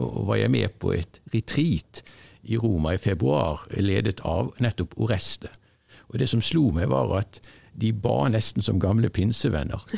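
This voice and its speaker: A man's very deep, low voice with vocal fry and a dark, mellow tone, very wide pitch swings, very even loudness, a moderate pace, and a dry, close sound with no echo. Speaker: college staff member. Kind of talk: casual chat.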